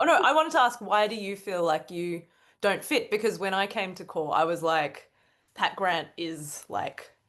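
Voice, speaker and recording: A woman with an Australian accent speaks at a moderate pace with lively intonation against a quiet background. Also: medium pitch for a woman. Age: 30s. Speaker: cartoonist. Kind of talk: casual chat.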